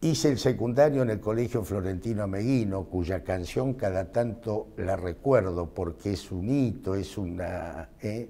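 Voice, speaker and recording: A man speaks at a fairly slow pace with hardly any pauses, his pitch fairly low. His tone is dark and mellow, and his pitch varies in an ordinary way. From Argentina, Mercedes, Buenos Aires province; Buenos Aires province, Argentina. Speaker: physician and medical professor; interviewee. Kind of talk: interview; interview answer. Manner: hesitant, frequent filler este. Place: classroom. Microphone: lapel.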